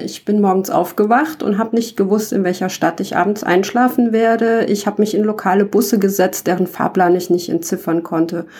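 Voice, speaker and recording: This woman has an ordinary speaking voice, with medium pitch and ordinary pitch variation. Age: 40s. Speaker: podcaster, backpack traveller. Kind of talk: monologue podcast.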